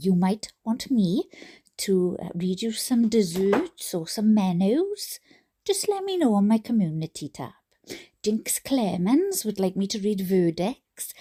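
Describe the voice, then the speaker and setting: In a Welsh accent, a woman speaks at a fairly slow pace and medium pitch, with ordinary pitch variation. Her somewhat breathy voice has a dark, mellow tone, and the recording is very clean with a silent background. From Wales. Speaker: YouTube reader. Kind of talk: casual chat. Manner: halting.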